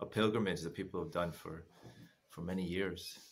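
Speaking with an American accent, a man keeps a fairly quick pace. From United States. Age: 50s. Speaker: former massage therapist, travel guest. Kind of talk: casual chat. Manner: laughs often. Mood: calm, reflective storytelling. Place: home room. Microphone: earbuds.

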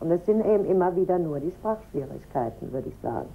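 Light background noise sits behind a woman with a very deep, low pitch and a dark, mellow tone. She speaks fairly quickly with lively intonation and vocal fry. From Germany. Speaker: teacher's wife. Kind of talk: interview. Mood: calm, friendly. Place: home room.

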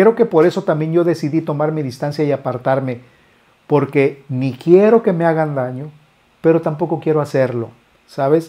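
Against a quiet background, a man with a fairly high pitch talks at a moderate pace with ordinary pitch variation in a normal speaking voice. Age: 50s. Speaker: musician and YouTuber. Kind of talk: casual vlog monologue. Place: studio. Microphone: lapel.

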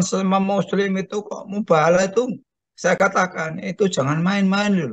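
The background is quiet. A man with a high pitch speaks at a moderate pace. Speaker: study group participant. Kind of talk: question and comment in study group. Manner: halting. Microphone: video call.

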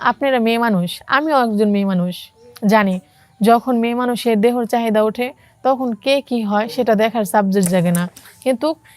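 Here is a woman with a plain, everyday voice. Her pitch is fairly high, with ordinary variation. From Bangladesh, Chandpur. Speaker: garment factory worker. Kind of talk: personal testimony.

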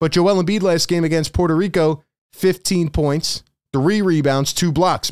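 A man talks at a moderate pace, with a quiet background behind him. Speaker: sports channel host. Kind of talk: commentary. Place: home room. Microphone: studio mic.

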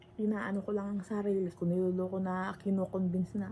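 Noticeable background noise behind fairly quick talking. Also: woman. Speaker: vlogger. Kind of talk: casual vlog monologue. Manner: halting.

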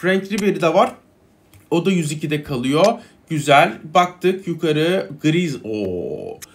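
Speaking very slowly, a man uses a high pitch with ordinary pitch variation. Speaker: gaming YouTuber; gaming content creator. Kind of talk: gameplay commentary. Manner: casual, hesitant fillers. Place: home room.

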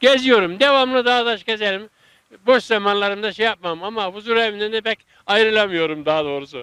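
A man with a high-pitched, bright, sharp tone speaks in a raised, projected voice at a fairly quick pace with ordinary pitch variation, on a very clean recording with a silent background and a dry, close sound with no echo. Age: 80s+. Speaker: retiree who grafts fruit trees. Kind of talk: interview answer.

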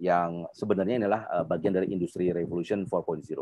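This is a man speaking. The sound is dry with no echo. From Jakarta, Indonesia. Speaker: invited speaker, industry professional; speaker. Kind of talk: webinar presentation with Q&A. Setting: video call. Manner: informal, filler-heavy. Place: home room. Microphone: video call.

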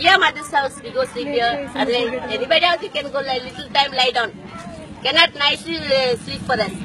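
Raised, projected, high-pitched voice of a woman at a fairly quick pace, with ordinary pitch variation and big swings in loudness, against crowd noise in the background. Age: old. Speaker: flood victim, domestic worker. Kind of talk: street interview answer. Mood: animated, grateful, pleading. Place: street. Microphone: phone near.

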